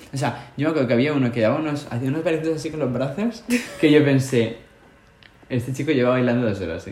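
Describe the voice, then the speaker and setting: At a very fast pace, a man speaks in a medium pitch with an animated tone. His pitch variation is ordinary, and room echo is audible. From Spain. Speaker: podcast co-host. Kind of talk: casual chat.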